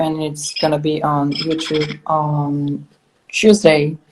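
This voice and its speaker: A woman with a slight French accent speaks in a very deep, low voice. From Belgium. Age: 20s. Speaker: interviewer, online show host. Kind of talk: interview.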